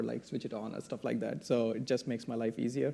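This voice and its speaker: A man's dark, mellow tone at a fairly quick pace. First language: not English. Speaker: electrical engineer, panelist. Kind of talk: panel discussion. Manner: halting.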